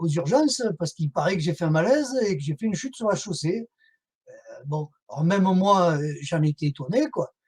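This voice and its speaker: A man speaks with a southern French accent. His pitch is high for a man, and his pace is fairly quick. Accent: southern French (Midi). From southern France. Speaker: whistleblower and association activist. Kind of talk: interview testimony. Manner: hesitant, many fillers.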